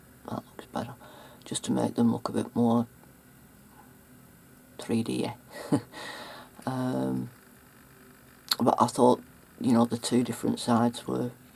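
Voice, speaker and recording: A woman speaks fairly slowly, with long, frequent pauses and big swings in loudness. Noticeable background noise runs underneath. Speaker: mixed media artist. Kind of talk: casual talk to camera. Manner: hesitant, halting.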